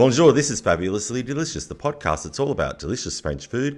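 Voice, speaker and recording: Very wide pitch swings and vocal fry mark a man's fairly quick speech. The recording is very clean, the background silent. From Australia. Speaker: podcast host. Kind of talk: podcast interview.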